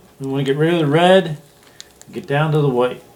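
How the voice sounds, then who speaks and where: A fairly quick pace with noticeable noise behind it. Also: man. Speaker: DIY taxidermy hobbyist. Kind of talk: tutorial. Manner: casual, conversational.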